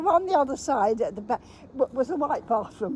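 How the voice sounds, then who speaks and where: A woman at a fairly quick pace, very wide pitch swings, noticeable background noise. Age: 90s. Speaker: elderly woman revisiting childhood places. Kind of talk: casual chat.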